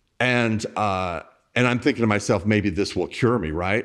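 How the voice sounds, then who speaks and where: A man's fairly low voice at a moderate pace, with ordinary pitch variation and a quiet background. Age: 50s. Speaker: blogger, author and HIV activist. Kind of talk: candid interview about personal life. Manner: halting, with frequent restarts.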